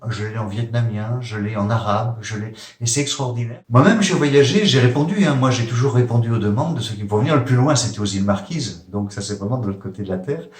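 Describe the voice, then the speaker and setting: Hardly pausing, a man at medium pitch talks very fast with ordinary pitch variation, amid noticeable background noise and audible room echo. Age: 60s. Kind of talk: interview. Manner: hesitant, many fillers.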